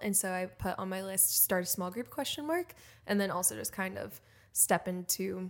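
At a moderate pace, a woman with a medium-pitched voice talks in a normal speaking voice. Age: 20s. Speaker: podcast co-host. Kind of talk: casual chat.

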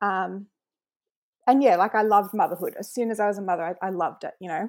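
A woman with an Australian accent at a medium pitch and fairly quick pace, her intonation fairly even, on a very clean recording with a silent background. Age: 20s. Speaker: mother expecting triplets. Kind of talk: casual interview.

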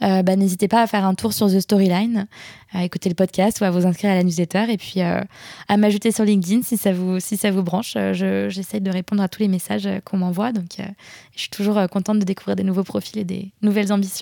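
On a very clean recording with a silent background, a woman with a dark, mellow tone speaks at a fairly quick pace in a flat monotone. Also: medium pitch for a woman. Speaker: content and brand strategist, freelancer. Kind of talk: interview. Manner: fast.

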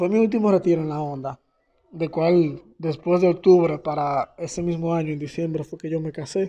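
A high-pitched man's voice at a moderate pace, with fairly even intonation. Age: young. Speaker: church youth retreat member. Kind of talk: testimony.

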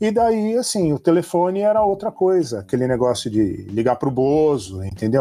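A man's dark, mellow voice at a fairly quick pace, in a very clean recording with a silent background. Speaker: hacker, security expert. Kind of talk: casual interview chat.

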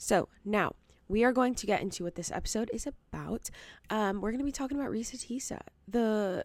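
A soft-spoken woman on a very clean recording with a silent background. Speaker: podcast host and TikTok creator. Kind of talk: casual solo commentary. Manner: casual, many fillers like 'like' and 'um'.

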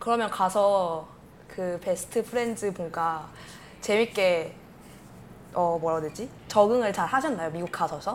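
A woman speaks at a medium pitch and a fairly slow pace, with ordinary pitch variation. Her speech has long, frequent pauses. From Korea, Vietnam and Germany. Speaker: podcast co-host. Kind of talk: casual chat.

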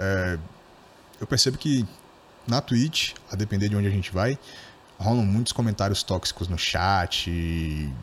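A somewhat breathy, fairly low man's voice with ordinary pitch variation, a fairly slow pace and long, frequent pauses. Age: 20s. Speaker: podcast host. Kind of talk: casual interview.

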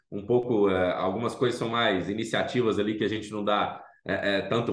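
A man at medium pitch talks at a moderate pace, with audible echo in the room. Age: 40s. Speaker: food startup founder. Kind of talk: interview.

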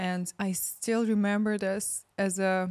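A woman with a Ukrainian accent speaks at a medium pitch in a monotone, flat intonation. The recording is very clean, with a silent background. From Ukraine. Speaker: spiritual ceremony facilitator. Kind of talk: casual chat.

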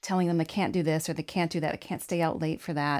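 Here is a woman with an ordinary speaking voice. Her pitch is fairly low and her intonation fairly even. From grew up partly in Africa, then Arizona. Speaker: birth doula and podcast co-host. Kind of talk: casual chat.

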